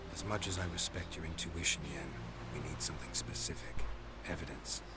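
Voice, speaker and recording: Over loud background noise, a man puts on a character voice and speaks at a fairly quick pace. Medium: game stream. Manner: low, dry, terse.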